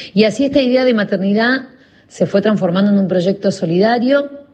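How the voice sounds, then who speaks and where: Somewhat breathy speech in a Rioplatense accent, with ordinary pitch variation. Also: woman. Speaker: journalist and charity founder. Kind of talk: recorded testimony.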